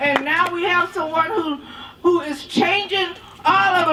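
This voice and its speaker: Amid noticeable background noise, a woman speaks in a raised, projected voice at a fairly slow pace with lively intonation. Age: 70s. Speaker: women's health activist. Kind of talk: rally speech. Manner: emphatic.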